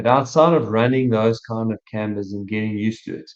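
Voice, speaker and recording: A man with an unremarkable speaking voice talks at a fairly quick pace, pitched fairly low, with fairly even intonation. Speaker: running coach. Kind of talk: casual podcast chat.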